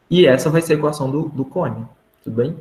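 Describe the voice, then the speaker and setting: A man with a somewhat breathy voice speaks at a fairly quick pace, keeping fairly even intonation. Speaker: math teaching assistant. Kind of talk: online tutoring session. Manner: casual, informal.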